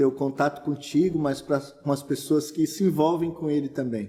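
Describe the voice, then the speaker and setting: A man speaks in a normal speaking voice at a moderate pace. His pitch is fairly high and his intonation fairly even. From Brazil, São Paulo state (Santo André). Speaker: pastor. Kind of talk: casual interview.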